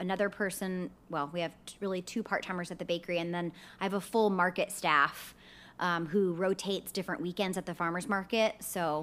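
A woman with an ordinary speaking voice talks at a fairly quick pace and medium pitch, using fairly even intonation. The recording is very clean, with a silent background. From Texas, Sugar Land near Houston. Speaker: bakery owner, entrepreneur. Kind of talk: casual interview chat. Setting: recording studio at co-working space.

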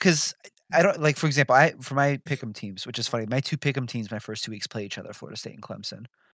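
In a very clean recording with a silent background, a man speaks with ordinary pitch variation, the sound dry and close with no echo. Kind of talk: casual group chat about sim football broadcasting. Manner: fast talker.

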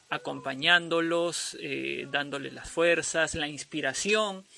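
A man's high voice, fairly unhurried, with typical pitch movement. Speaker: podcast co-host. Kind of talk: casual chat. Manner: animated.

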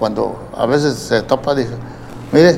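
A man speaks at a fairly high pitch. Noticeable background noise can be heard. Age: 80s+. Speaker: youth baseball coach. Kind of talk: interview. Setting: studio.

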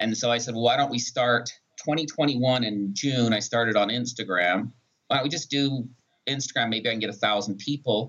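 With a plain, everyday voice, a man speaks at medium pitch and a moderate pace with ordinary pitch variation. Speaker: pharmacist and social media creator. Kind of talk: podcast interview.

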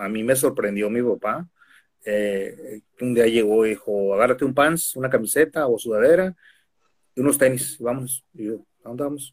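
Here a man with an ordinary speaking voice talks at a medium pitch and moderate pace, with ordinary pitch variation. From Mexico, Tijuana. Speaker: professional wrestler. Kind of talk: casual interview. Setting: video call.

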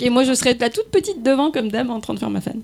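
Against noticeable background noise, a woman speaks in a high voice with a regional French accent. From rural area near Lyon, France. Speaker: radio host. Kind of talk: casual chat.

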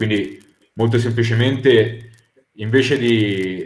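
A man talks in an unremarkable speaking voice. His pitch is medium and his intonation fairly even. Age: young. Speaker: debate guest. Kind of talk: heated debate.

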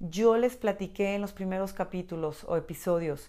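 A woman's voice with ordinary pitch variation. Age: 40s. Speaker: podcast host. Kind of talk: personal reflective monologue. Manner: halting.

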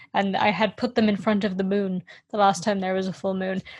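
This voice is somewhat breathy. It belongs to a woman at a medium pitch. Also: quiet background. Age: 20s. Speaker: podcast co-host. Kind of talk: casual chat.

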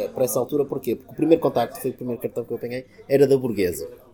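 Words come at a very fast pace from this man. The rise and fall of his pitch is ordinary. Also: big swings in loudness. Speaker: craft beer figure. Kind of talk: interview. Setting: bar. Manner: hesitant, many fillers.

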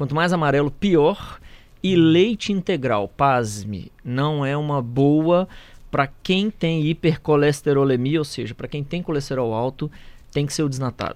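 A man talks at a fairly slow pace in an unremarkable speaking voice. His fairly high pitch has ordinary pitch variation. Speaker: cardiologist. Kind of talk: radio interview.

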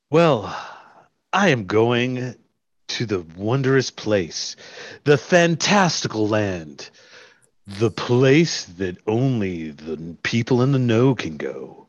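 A man speaks at a very slow pace. His medium pitch makes very wide swings. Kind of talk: radio commercial pitch. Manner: grandiose, suggestive.

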